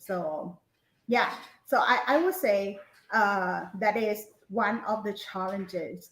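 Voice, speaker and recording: A medium-pitched woman with a Thai accent, at a very slow pace. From Thailand. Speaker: English lecturer. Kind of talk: webinar interview. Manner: halting, many fillers.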